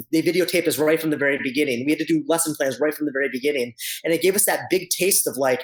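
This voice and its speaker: Fairly high-pitched man's voice with ordinary pitch variation. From New Hampshire. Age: 30s. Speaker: band director. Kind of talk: interview. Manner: fast; animated.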